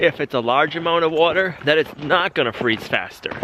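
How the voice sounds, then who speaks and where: Over noticeable background noise, a man's fairly high voice moves at a moderate pace. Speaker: homesteading YouTuber. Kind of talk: casual vlog narration. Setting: outdoors.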